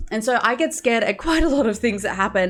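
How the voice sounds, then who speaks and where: Someone speaks at a fairly quick pace with lively intonation over noticeable background noise. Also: woman. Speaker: stream coach. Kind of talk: tutorial. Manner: scripted.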